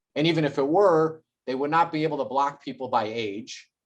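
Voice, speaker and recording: A man speaks in an ordinary speaking voice, fairly high-pitched, with fairly even intonation. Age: under 60. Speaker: local activist. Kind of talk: interview.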